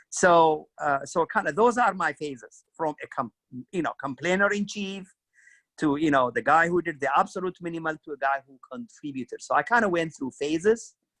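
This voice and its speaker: A man with an Ethiopian accent speaks at a moderate pace in a high, bright, sharp voice with lively intonation and big swings in loudness. The sound is dry and close, with no echo. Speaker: career club co-host. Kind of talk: career advice talk.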